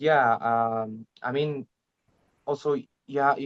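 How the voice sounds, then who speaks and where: A medium-pitched male voice with an Arabic accent, flat and monotone, in a dry, close recording with no echo. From Egypt. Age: 20s. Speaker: language learner, channel host. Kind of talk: interview. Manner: halting.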